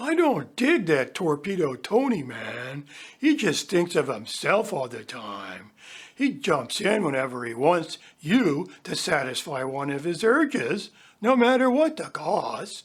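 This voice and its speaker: This put-on character voice sits at a middle pitch and moves at a fairly slow pace. Its pitch swings very widely. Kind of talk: 1960s hippie slang. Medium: audio drama. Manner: laid-back, slangy.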